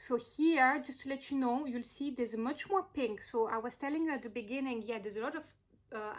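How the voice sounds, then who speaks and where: A woman talks fairly quickly with ordinary pitch variation while noticeable background noise plays. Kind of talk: crystal presentation video. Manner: animated, hesitant with fillers.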